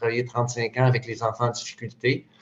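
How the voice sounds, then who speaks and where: There is a man with a medium pitch. His voice is somewhat breathy. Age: 60s. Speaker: retired youth worker. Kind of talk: video call discussion. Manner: halting.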